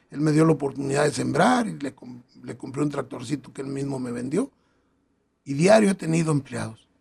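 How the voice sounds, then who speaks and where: Long, frequent pauses and big swings in loudness mark this man's fairly high-pitched voice, which has vocal fry and ordinary pitch variation. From Acatic, Jalisco, Mexico. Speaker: local political candidate. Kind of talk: interview.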